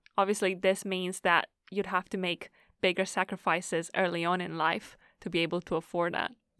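Monotone and flat in intonation, a woman with a medium pitch and a bright, sharp tone speaks at a moderate pace, in a dry, close sound with no echo and a very clean recording with a silent background. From Romania. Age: 20s. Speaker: podcast co-host. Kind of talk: casual chat.

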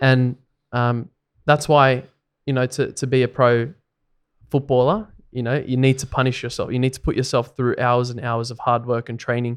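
With an Australian accent, a man speaks at a medium pitch and moderate pace in a monotone, flat intonation. His loudness swings widely, long pauses come often, and the recording is very clean with a silent background. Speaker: podcast co-host, rugby league fan. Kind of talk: casual chat.

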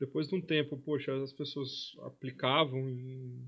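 Using an ordinary speaking voice, a man with a fairly high pitch talks at a fairly slow pace with ordinary pitch variation. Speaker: investment office manager. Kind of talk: casual interview chat. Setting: studio.

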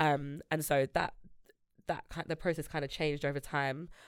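With a London accent, a woman speaks at a very deep, low pitch in a very clean recording with a silent background. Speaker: music industry A&R and founder. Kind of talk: casual chat. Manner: animated.

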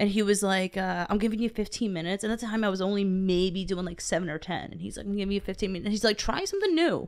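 Talking at a very fast pace, a woman with an American accent uses a medium pitch and an animated tone. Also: hardly any pauses. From Pennsylvania. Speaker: stand-up comedian and open mic organizer. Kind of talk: casual chat. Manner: fast talker.

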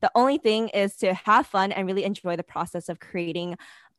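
A woman with a plain, everyday voice at a medium pitch, ordinary pitch variation and a fairly quick pace, against a quiet background with a dry, close sound and no echo. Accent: American. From New York City. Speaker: podcast co-host, product manager. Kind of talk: casual interview.

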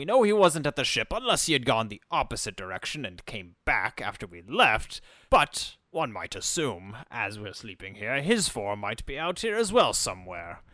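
A man uses a put-on character voice at medium pitch, with very wide pitch swings and big swings in loudness. He keeps a moderate pace with hardly any pauses on a very clean recording with a silent background. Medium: actual play. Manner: articulate, measured.

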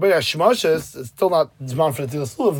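Here a man talks at a fairly quick pace with an American accent. His pitch varies in an ordinary way. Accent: American Yeshivish English. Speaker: Talmud teacher. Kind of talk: lecture.

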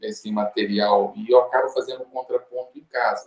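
A man is speaking. His pace is moderate. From Brazil, Uberlândia (Minas Gerais). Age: 50s. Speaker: physician. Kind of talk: panel discussion.

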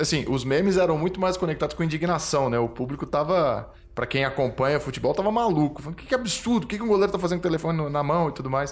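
Rattling along at a very fast pace with hardly any pauses, a man speaks in a fairly high pitch with lively intonation. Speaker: podcast host. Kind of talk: interview.

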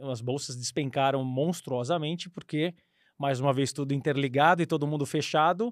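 A man with a plain, everyday voice, fairly high in pitch with ordinary pitch variation, on a very clean recording with a silent background. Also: moderate pace. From São Paulo state, Brazil (São Bernardo do Campo). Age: 40s. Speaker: former airline pilot and investment advisor. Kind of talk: casual interview.

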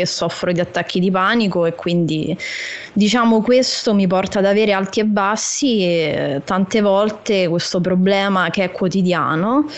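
Noticeable background noise sits behind a woman at medium pitch. She talks at a fairly slow pace with ordinary pitch variation. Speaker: youtuber. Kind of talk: casual chat.

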